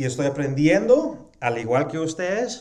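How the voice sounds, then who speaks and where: A man with a non-native accent and a fairly high pitch talks at a fairly slow pace, his pitch swinging very widely, with audible room echo. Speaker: pastor. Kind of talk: sermon. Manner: halting with fillers.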